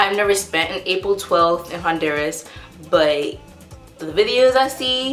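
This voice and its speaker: A woman's fairly low-pitched voice at a moderate pace, with music in the background and audible room echo. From US South, North Carolina. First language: Spanish. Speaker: vlogger. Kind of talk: casual vlog talk.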